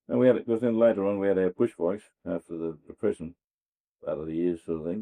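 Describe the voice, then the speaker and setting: A man with an Australian accent speaks at a very fast pace in a very deep, low voice, his tone dark and mellow and his pitch variation ordinary. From Western Australia. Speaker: farmer. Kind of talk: oral history interview answer. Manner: casual, reminiscing.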